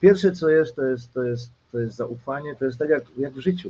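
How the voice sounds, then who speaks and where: This man's voice is fairly high, somewhat breathy, and dark and mellow in tone. He moves at a fairly quick pace with ordinary pitch variation. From Silesia, Poland. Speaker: goalkeeper coach. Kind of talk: casual interview chat.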